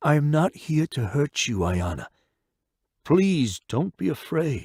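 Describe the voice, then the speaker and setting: At a fairly slow pace, a man performs a put-on character voice with a fairly high pitch on a very clean recording with a silent background. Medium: read story. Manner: calm, measured.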